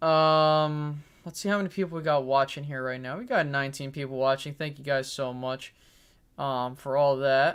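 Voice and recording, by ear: A man speaks at a medium pitch and a moderate pace, with a fairly bright, clear, smooth tone. The intonation is fairly even, and the recording is very clean with a silent background.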